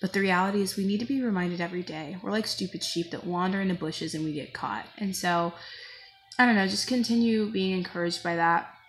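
Speaking at a very fast pace, a woman sounds somewhat breathy, with ordinary pitch variation. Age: 20s. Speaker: vlogger. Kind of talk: personal vlog testimony. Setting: at work on a break. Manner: halting. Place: home room. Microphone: phone near.

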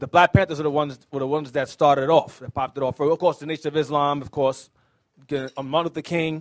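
A man speaks with intonation that remains fairly even throughout. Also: quiet background. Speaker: religious teacher. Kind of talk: sermon. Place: studio. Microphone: handheld.

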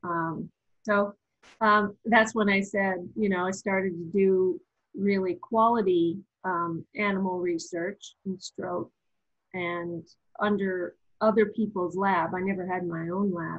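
The speech moves at a fairly slow pace with fairly even intonation. The background is quiet. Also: woman. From eastern Canada, Nova Scotia. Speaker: pharmacy professor. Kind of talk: interview. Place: home room. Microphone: webcam.

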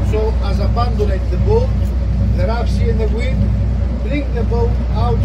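Speech at a moderate pace is heard over loud background noise. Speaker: boat tour guide. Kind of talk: tour guide commentary. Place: boat. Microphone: camera far.

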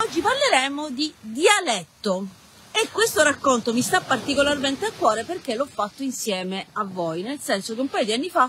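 With light background noise and a dry sound with no echo, a woman speaks at a moderate pace while her pitch swings very widely. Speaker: writer. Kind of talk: storytelling reading with casual asides. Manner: chatty, humorous. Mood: cheerful, joking. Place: beach. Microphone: phone near.

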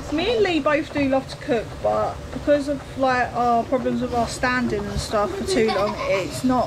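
Over noticeable background noise, a woman speaks at a moderate pace with hardly any pauses. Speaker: home cook vlogger. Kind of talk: casual vlog chat. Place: kitchen. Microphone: phone near.

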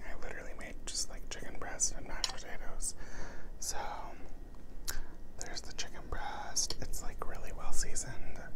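Loud background noise runs under a man speaking at a moderate pace. He leaves long, frequent pauses. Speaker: ASMR creator. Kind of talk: ASMR eating show. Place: home room. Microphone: lapel.

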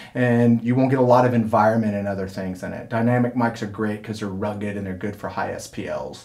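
A man talks at a very fast pace with hardly any pauses. His intonation stays monotone and flat. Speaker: audio engineering instructor. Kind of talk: tutorial. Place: studio. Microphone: camera far.

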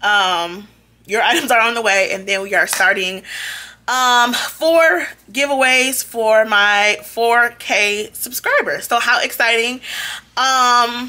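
A woman speaks at a very slow pace. Her pitch variation is ordinary. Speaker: haul vlogger. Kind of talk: casual vlog chat. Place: home room. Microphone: phone near.

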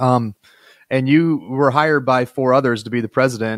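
A man is speaking. The sound is dry, with no echo. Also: quiet background. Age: 40s. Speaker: podcast host and state senator; podcast host, state senator. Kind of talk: interview conversation with scripted intro. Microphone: studio mic.

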